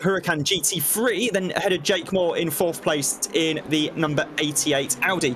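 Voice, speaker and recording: A man's fairly quick delivery with ordinary pitch variation, plus noticeable background noise. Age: 20s. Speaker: sim racing commentator. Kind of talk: live commentary. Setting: commentary box.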